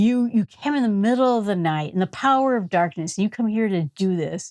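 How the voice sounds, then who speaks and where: In an Upper Michigan accent, a woman with an animated tone speaks at medium pitch and a moderate pace with ordinary pitch variation, recorded dry and close with no echo on a very clean recording over a silent background. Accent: Yooper. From US Upper Midwest, Michigan Upper Peninsula. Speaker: Bible teacher. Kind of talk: Bible study talk. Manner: animated, conversational.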